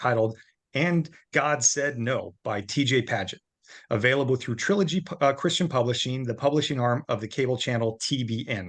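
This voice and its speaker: A man speaks at a medium pitch and a fairly quick pace with lively intonation. The background is quiet. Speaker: club president. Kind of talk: speaker introduction.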